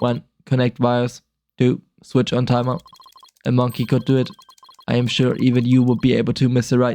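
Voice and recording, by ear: Someone reading aloud in a natural voice, against a quiet background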